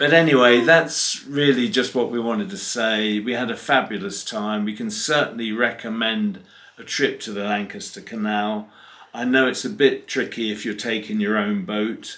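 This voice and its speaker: A man with an English accent speaks at a moderate pace and medium pitch. His tone is bright and sharp, with ordinary pitch variation. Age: 70s. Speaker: narrowboat vlogger. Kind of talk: casual chat.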